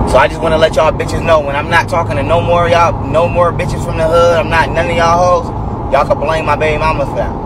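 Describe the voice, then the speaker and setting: A man speaks at a very fast pace with hardly any pauses. The sound is dry with no echo under loud background noise. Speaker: vlogger. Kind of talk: casual vlog rant. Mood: angry, venting. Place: car. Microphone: phone near.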